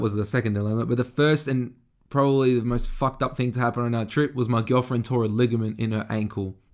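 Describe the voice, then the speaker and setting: Here a man speaks with an Australian accent. His pace is moderate. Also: very clean recording, silent background. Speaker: fashion and lifestyle podcaster. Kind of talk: casual solo podcast monologue. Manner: casual, conversational with frequent swearing and self-corrections.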